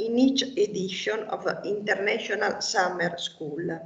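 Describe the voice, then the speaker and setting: Speaking with an Italian accent, a woman goes at a very slow pace. Noticeable background noise runs underneath. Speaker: local politician. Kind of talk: prepared speech. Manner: formal.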